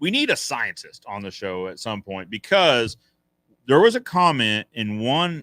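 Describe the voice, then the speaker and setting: On a very clean recording with a silent background, a man speaks in an animated, bright, sharp tone with a dry, close sound and no echo. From North Carolina. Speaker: fence contractor and business educator. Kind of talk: live Q&A stream.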